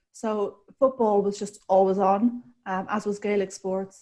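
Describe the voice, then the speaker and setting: In an Irish accent, a woman speaks with a dark, mellow tone at medium pitch and fairly even intonation. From Republic of Ireland. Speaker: sports director, former boxer. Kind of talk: interview.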